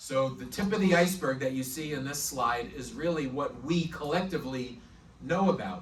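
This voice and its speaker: The speaker talks at a moderate pace with ordinary pitch variation, over noticeable background noise and with audible room echo. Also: man. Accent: slight New York. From New York. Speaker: prosecutor. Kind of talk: presentation talk.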